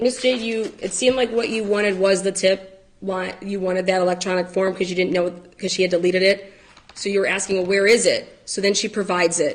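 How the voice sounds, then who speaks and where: Over noticeable background noise, a woman speaks at a medium pitch and a fairly quick pace with fairly even intonation. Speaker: protection order petitioner. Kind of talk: court testimony. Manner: fast.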